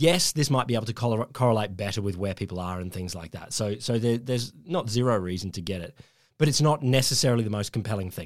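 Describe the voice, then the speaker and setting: A man's animated, very fast delivery in an Australian accent, medium in pitch with lively intonation, on a very clean recording with a silent background. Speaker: podcast host. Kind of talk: casual banter podcast. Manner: animated, jokey.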